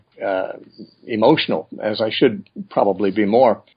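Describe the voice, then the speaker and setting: In an American accent, a man with an ordinary speaking voice speaks at a medium pitch with ordinary pitch variation. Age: 60s. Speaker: Bible teacher. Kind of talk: interview.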